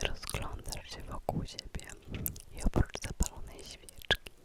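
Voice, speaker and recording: Noticeable background noise accompanies a woman who is whispering very slowly. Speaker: ASMR creator. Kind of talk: guided visualization for sleep. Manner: close whisper; slow, calm, soothing.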